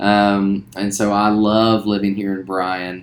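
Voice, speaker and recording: A man's fairly low voice with a Southern US accent and monotone, flat intonation. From West Virginia, later Louisiana. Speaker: school teacher. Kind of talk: casual self-introduction.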